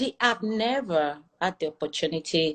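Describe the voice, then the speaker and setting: This woman has a Nigerian accent and a fairly low pitch, and her intonation is lively. She speaks at a moderate pace in a dry, close sound with no echo. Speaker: airline pilot. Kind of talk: interview conversation.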